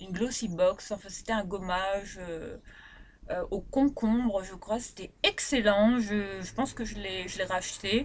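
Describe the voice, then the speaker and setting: With a Réunion accent, a woman speaks fairly slowly at a medium pitch, ordinary pitch variation, and big swings in loudness. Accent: Réunion Creole French. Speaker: beauty vlogger. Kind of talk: product review vlog. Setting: bedroom.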